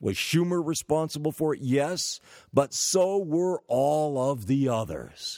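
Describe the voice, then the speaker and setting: Very slowly, a man speaks with a fairly high pitch, ordinary pitch variation and a dark, mellow tone, in a dry, close recording with no echo. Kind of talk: commentary rant. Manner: indignant, fiery, emphatic, hammering each accusation; sarcastic, dripping with mock praise.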